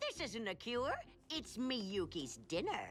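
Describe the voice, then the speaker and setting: A woman puts on a cartoonish character voice at a high pitch with very wide pitch swings. She goes at a fairly slow pace, with clear background noise. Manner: rambling, absent-minded.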